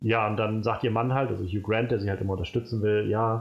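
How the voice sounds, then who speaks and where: A man talks at a very fast pace with a fairly low pitch. His voice is somewhat breathy. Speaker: film podcast host. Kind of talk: casual chat. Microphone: new microphone, sits further from it.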